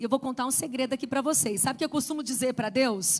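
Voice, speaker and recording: Music plays in the background. A woman speaks in an animated tone. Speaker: women's ministry preacher. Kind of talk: sermon.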